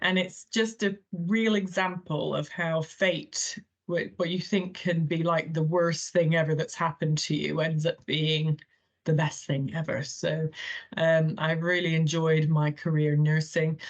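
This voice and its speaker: A woman speaks in an American accent, her pitch fairly low and her voice somewhat breathy. Her loudness stays very even, and her intonation is fairly even too. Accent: funny accent from an American boarding school. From Thailand. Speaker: healthcare chief executive, former nurse. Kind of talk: podcast interview.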